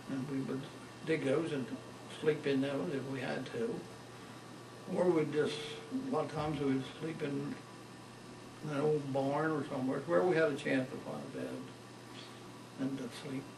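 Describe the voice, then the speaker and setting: Over noticeable background noise, a man with an American accent speaks at a moderate pace and a fairly high pitch, with fairly even intonation and long, frequent pauses. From Maryland, USA. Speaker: World War II veteran. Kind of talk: oral history interview answer.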